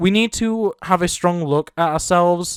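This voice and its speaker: Someone with a British accent speaks at a moderate pace on a very clean recording with a silent background. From Britain. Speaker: gaming YouTuber. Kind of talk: opinion commentary video. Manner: earnest.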